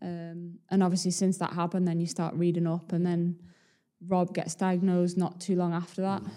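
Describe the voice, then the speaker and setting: A dark, mellow tone moves at a moderate pace in a monotone, flat intonation. The recording is very clean, with a silent background. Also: woman, fairly low pitch for a woman. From Leeds, Yorkshire. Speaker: professional footballer. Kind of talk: casual interview.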